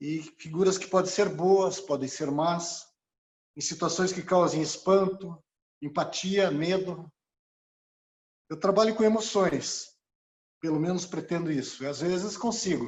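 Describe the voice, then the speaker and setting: A man speaks at a fairly slow pace with long, frequent pauses. His pitch is high, with ordinary variation. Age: 60s. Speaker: retired engineer and visual artist. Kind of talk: personal testimony at online exhibition. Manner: halting, with many fillers.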